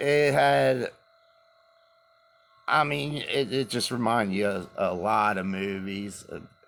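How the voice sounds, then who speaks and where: A man speaks in a fairly low pitch with very wide pitch swings. Noticeable background noise runs underneath. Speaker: vlogger. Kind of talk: casual chat. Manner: casual, hesitant.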